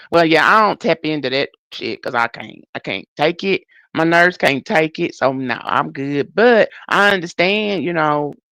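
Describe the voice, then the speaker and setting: In a Southern US accent, a woman with a fairly low pitch talks at a moderate pace, her intonation lively and her tone animated, on a very clean recording with a silent background and a dry, close sound with no echo. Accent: US South. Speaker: livestreamer. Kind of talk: casual chat. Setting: live stream.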